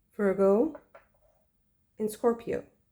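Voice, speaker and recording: A woman speaks at a very slow pace. Her fairly high voice is somewhat breathy. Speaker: tarot reader. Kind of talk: tarot reading. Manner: hesitant, many fillers; modified, held-back delivery.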